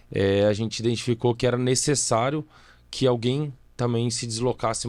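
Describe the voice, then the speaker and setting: On a very clean recording with a silent background, the speech keeps fairly even intonation. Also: man. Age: 30s. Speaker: civil engineer and company director. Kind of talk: podcast interview. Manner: talkative.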